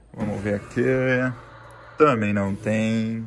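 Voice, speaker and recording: Music plays behind a man whose words come very slowly. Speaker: family vlogger. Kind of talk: casual vlog chat. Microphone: phone near.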